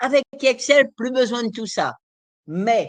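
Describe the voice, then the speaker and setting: Very slow pace against a quiet background. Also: woman. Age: 70s. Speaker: nutrition specialist. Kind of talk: lecture. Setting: live online conference.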